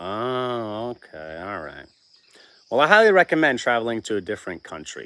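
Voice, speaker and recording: In a normal speaking voice, a man talks at a moderate pace with a medium pitch and lively intonation. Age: 40s. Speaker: homesteading channel livestream host. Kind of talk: casual livestream chat, reading viewer comments. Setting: live stream with chat.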